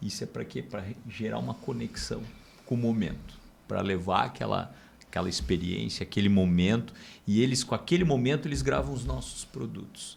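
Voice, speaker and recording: Using vocal fry, a man talks at a moderate pace in a fairly low voice with very wide pitch swings. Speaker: podcast host. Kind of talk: podcast conversation.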